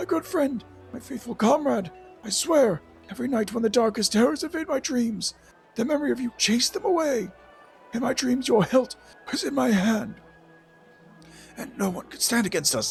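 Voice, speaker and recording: Someone in a put-on character voice speaks with long, frequent pauses while clear music plays in the background. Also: man, extremely high pitch for a man, moderate pace. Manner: emotional, wistful.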